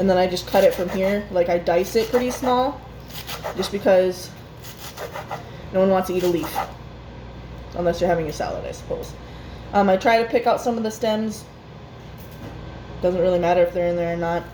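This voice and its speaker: A woman at medium pitch and a fairly quick pace, with ordinary pitch variation, long, frequent pauses and noticeable background noise. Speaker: home cooking vlogger. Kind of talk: cooking tutorial. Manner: loud.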